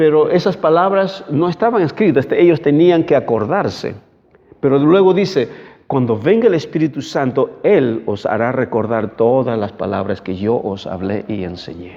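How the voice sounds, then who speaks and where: Vocal fry runs through the speech of a man with a fairly high pitch who talks at a moderate pace with very wide pitch swings. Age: 60s. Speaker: pastor. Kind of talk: sermon. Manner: halting.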